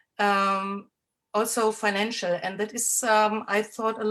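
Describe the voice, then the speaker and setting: In a German accent, a woman with a fairly high pitch and a bright, sharp tone speaks at a fairly slow pace. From Germany. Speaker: healer and moon mother. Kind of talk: sharing in an online women's circle. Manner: halting, many fillers.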